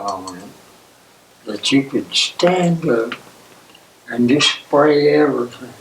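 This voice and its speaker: Against noticeable background noise, a man with a fairly high pitch speaks very slowly with lively intonation. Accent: Appalachian. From East Tennessee. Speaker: World War II Navy veteran. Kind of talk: oral history interview answer.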